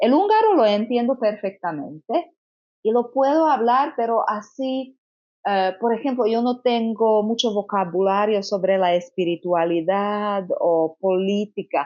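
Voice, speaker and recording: Speaking at a fairly slow pace with a Slovak accent, a woman uses a fairly high pitch and lively intonation while keeping her loudness very even. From Slovakia. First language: Slovak (speaking Spanish). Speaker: consecrated virgin. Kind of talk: testimony. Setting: Medjugorje, rainy day. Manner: halting.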